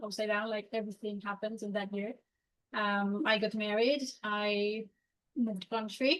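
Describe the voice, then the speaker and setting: A woman with a Mexican accent speaks at a fairly high pitch with fairly even intonation. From Mexico. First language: Spanish. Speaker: career changer, consultant. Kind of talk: interview. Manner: halting, many fillers.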